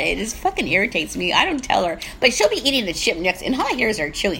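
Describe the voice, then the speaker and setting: The speech comes at a very fast pace with hardly any pauses, set against noticeable background noise. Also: woman. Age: 60s. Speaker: podcast co-host, comedian. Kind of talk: casual chat.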